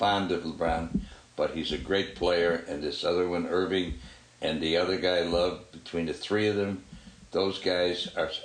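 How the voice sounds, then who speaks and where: A man speaks at a fairly slow pace with a very deep, low pitch and fairly even intonation. Room echo is audible. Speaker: family sports podcast co-host. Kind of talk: casual chat.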